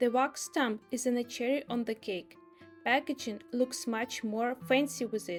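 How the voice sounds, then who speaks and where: Over music in the background, a woman with a strong non-native accent and a high pitch talks at a fairly slow pace with lively intonation. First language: not English. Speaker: illustrator and small business owner. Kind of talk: casual voice-over narration.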